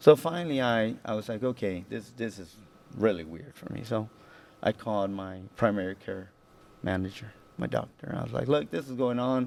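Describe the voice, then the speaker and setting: With an American accent, a man speaks at a moderate pace in a fairly low pitch. His intonation is lively, and his loudness swings widely. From Houston, Texas. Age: 40s. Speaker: military officer. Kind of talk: interview testimony. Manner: halting, many repetitions and fillers.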